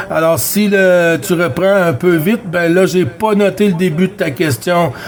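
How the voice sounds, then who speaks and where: Against noticeable background noise, a man speaks at a high pitch and a fairly slow pace. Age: 50s. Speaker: CB radio operator. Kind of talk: radio chat. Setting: CB radio contact. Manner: hesitant, many fillers.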